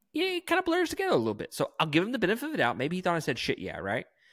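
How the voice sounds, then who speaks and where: A man's bright, sharp, animated voice with very wide pitch swings, in a very clean recording with a silent background. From Mississippi. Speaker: podcast co-host. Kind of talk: casual chat. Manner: fast.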